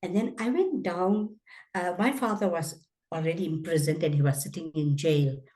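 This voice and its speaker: Speaking at a moderate pace, a woman has a fairly low pitch, ordinary pitch variation, a dark, mellow tone and a somewhat breathy quality. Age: 80s+. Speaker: anti-apartheid activist. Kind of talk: interview testimony. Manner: halting.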